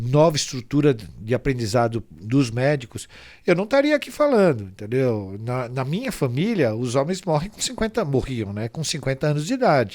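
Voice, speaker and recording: This is a man with a plain, everyday voice at medium pitch. He speaks at a moderate pace on a very clean recording with a silent background. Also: lively intonation. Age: 60s. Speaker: pharmaceutical industry association executive. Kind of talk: interview.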